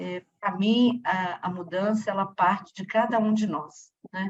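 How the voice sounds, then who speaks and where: A woman's medium-pitched, somewhat breathy voice rises and falls by a normal amount. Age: 60s. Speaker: audience participant. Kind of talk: audience comment at a talk. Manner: halting.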